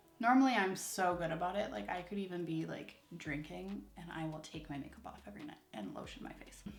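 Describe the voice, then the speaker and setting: With music in the background, a woman speaks at a fairly low pitch, with very wide pitch swings and big swings in loudness. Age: 20s. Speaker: beauty vlogger. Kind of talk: casual chat while doing makeup. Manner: peppy, upbeat; frequent filler 'um's.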